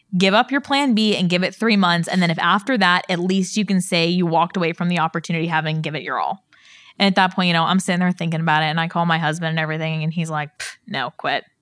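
Speaking at a very fast pace, a woman uses a fairly low pitch with ordinary variation in a very clean recording with a silent background. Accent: American. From Pittsburgh, Pennsylvania. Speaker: insurance agency owner. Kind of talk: interview.

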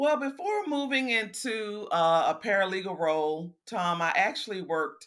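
A woman talks with an American accent and lively intonation. The recording is very clean, and the background is silent. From Houston, Texas. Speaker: compliance professional. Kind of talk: interview.

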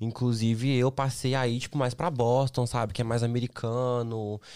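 Fairly even intonation in a man's medium-pitched voice, recorded very cleanly against a silent background. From Brazil, Minas Gerais (Belo Horizonte). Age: 20s. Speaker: model and influencer. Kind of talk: casual chat. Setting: studio.

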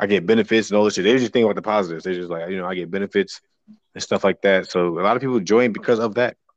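A man with an American accent speaks very fast at a fairly low pitch, his intonation fairly even and the sound dry and close with no echo. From New Jersey. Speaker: podcast co-host. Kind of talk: casual chat.

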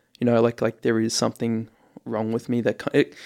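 In an Australian accent, a man speaks at a medium pitch. The recording is very clean, with a silent background. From Australia, Ipswich, Queensland. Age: 20s. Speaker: radio host and journalism graduate. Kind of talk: casual interview. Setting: radio studio.

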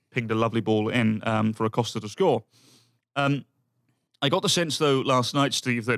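A man at a medium pitch and fairly quick pace, with very even loudness, ordinary pitch variation and long, frequent pauses. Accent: British. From United Kingdom. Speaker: football pundit. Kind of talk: casual chat.

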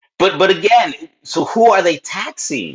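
This man speaks in a Spanish accent. His pitch swings very widely. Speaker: education leader, former principal. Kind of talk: interview conversation.

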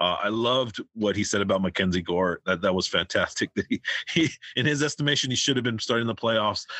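Here a man speaks at a very fast pace with very even loudness. His pitch is medium, with ordinary variation. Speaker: podcast host. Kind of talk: casual interview.

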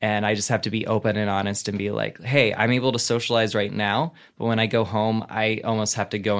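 This is an unremarkable speaking voice with an American accent. It moves at a fairly quick pace. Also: man. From US South. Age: 30s. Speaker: comedian. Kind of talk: casual chat. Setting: video call.

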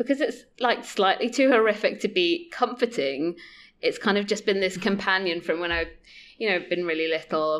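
In a very clean recording with a silent background, a woman speaks in an unremarkable speaking voice. Her pitch is medium, her intonation lively, and her pace moderate. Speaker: podcast guest. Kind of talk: casual chat.

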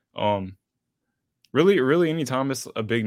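The recording is very clean over a silent background. A man talks at a moderate pace. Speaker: sports graphic designer. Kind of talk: interview.

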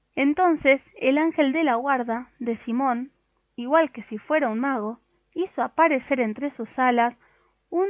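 The tone is animated and warm. Pitch varies in an ordinary way at a fairly slow pace. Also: woman. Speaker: audiobook narrator. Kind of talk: dramatic storytelling narration, reading a children's tale aloud with character voices. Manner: animated, wonder-filled and expressive, voicing the angels' gasps and pleased, warm tones.

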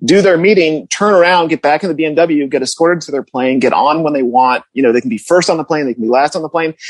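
Very fast speech in an American accent carries lively intonation, with a dry, close sound and no echo. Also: man. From US Northeast, Connecticut suburbs. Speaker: food writer. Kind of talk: casual chat.

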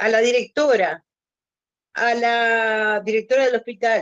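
At a fairly slow pace, a woman speaks in a fairly high pitch. She has a normal speaking voice. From Uruguay. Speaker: podcast guest. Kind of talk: casual interview conversation.

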